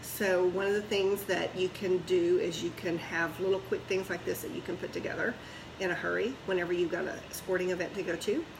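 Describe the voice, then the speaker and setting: Noticeable background noise under a woman's fairly quick pace. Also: medium pitch for a woman. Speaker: product demonstrator, home cooking consultant. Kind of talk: product demonstration. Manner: fast; animated.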